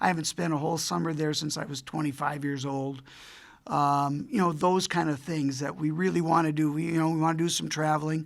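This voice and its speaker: Audible room echo surrounds a man with a fairly high pitch. He keeps a fairly quick pace and fairly even intonation. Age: 70s. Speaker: retiring college hockey coach and administrator. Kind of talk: press conference. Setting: press conference with media. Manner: conversational, many fillers.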